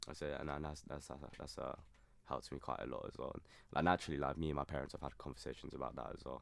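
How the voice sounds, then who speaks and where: A very fast-talking man with a southern English accent. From southern England (Surrey). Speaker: university student. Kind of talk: casual chat. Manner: halting.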